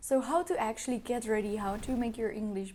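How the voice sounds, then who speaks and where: A dark, mellow tone with a Czech accent. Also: woman. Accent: Czech-accented English, non-native. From Czech Republic. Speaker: YouTuber, study abroad advice. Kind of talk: vlog advice talk. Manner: hesitant with fillers.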